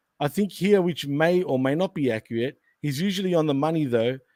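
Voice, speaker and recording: Very fast and with an Australian accent, a man speaks in a dark, mellow tone, the sound dry and close with no echo on a very clean recording with a silent background. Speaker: wrestling podcast host. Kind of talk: casual chat.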